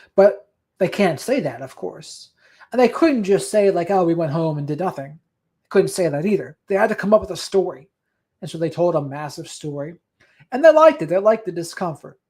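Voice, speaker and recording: A man's high-pitched voice, fairly quick, with lively intonation and big swings in loudness, in a very clean recording with a silent background. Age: 30s. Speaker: podcast host on narcissistic abuse recovery. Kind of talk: casual solo livestream talk, reading viewer comments.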